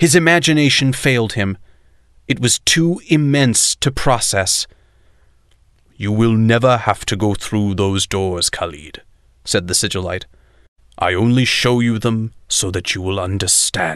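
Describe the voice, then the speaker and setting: A man speaks at a fairly slow pace over a quiet background, in a normal speaking voice. His pitch is medium and his intonation lively. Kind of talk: audiobook reading.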